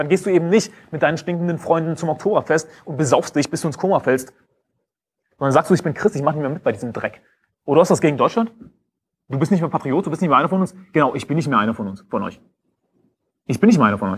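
A man talks at a very fast pace with vocal fry, broken by long, frequent pauses. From Germany. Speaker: preacher. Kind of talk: sermon. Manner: sarcastic, sharply polemical, preaching with emphatic repetition. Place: stage.

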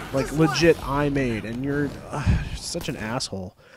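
Music sits in the background. A man talks with ordinary pitch variation. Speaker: gaming video commentator. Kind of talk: let's play commentary. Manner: rambling, filler-heavy casual talk.

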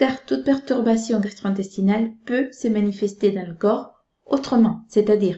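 A somewhat breathy woman speaks at a moderate pace with audible room echo. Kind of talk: health explainer talk. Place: home room. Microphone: webcam.

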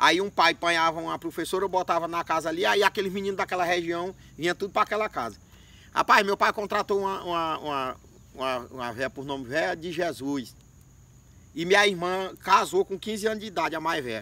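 A man speaks at a fairly quick pace in a high pitch with ordinary pitch variation. His tone is bright and sharp, and the sound is dry with no echo. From Maranhão, Brazilian Northeast. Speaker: storyteller comedian. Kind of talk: comic storytelling. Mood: relaxed, humorous. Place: open country. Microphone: camera far.

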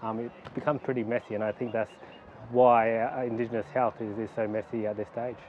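A man speaks at a fairly quick pace with monotone, flat intonation. Light background noise can be heard. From Mount Isa, northwest Queensland, Australia; Queensland, Australia. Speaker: doctor. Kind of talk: interview answers. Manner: halting with frequent fillers. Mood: relaxed, thoughtful. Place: garden.

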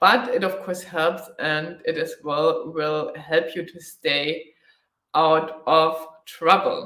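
Speaking at a very slow pace, a woman with a German accent sounds out over a quiet background with audible room echo. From Germany. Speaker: motorcycle travel vlogger. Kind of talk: live stream Q&A. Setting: live online video stream. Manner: frequent filler hesitations. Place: home room.

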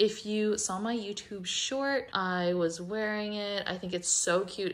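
The speaker is a woman with a medium pitch. She talks very slowly. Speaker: lifestyle vlogger. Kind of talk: casual vlog talk to camera. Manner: upbeat, chatty.

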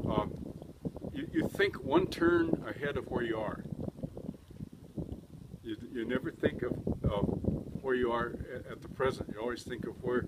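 A man at a moderate pace with long, frequent pauses over loud background noise. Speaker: race car driver. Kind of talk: interview answer. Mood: relaxed, cheerful. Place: street.

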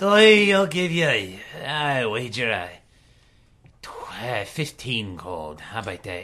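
In a put-on character voice of medium pitch, a man talks at a very slow pace with long, frequent pauses and very wide pitch swings. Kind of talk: comic overacting. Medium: actual play. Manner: boastful, leering, slurring.

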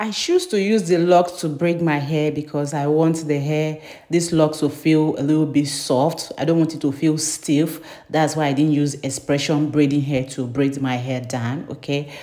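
A woman's very deep, low voice with fairly even intonation at a moderate pace. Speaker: beauty vlogger. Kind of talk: tutorial. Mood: cheerful, smiling. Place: bathroom. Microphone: phone near.

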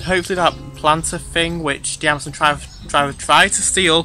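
A man talking at a fairly quick pace, dry with no echo, over faint background music. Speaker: vlogger. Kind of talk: casual vlog chat. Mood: upbeat, excited. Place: garden. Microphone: phone near.

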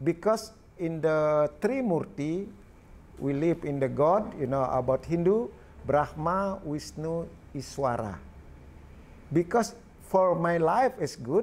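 With a Balinese accent, a man talks at a very slow pace with lively intonation and long, frequent pauses. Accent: Balinese Indonesian. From Indonesia. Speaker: artist. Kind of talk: interview answer. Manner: halting. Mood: warm, smiling. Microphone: lapel.

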